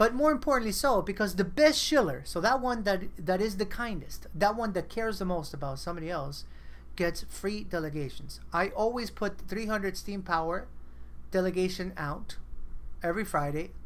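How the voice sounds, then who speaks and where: At a moderate pace and medium pitch, a woman speaks in an animated tone with lively intonation and vocal fry, with audible room echo around her. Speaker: online community meeting host. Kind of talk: casual group video chat.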